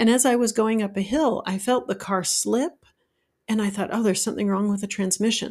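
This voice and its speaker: An unremarkable speaking voice, a woman with an American accent talks at a fairly quick pace and medium pitch in a very clean recording with a silent background. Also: ordinary pitch variation. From Utah, US. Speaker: life coach, podcast host. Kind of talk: solo podcast monologue.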